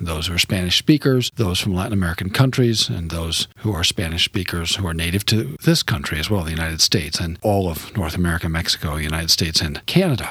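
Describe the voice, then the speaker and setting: A man speaks at a fairly quick pace in a very deep, low voice with ordinary pitch variation, over noticeable background noise. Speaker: radio host and seminary professor. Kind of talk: interview. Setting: studio.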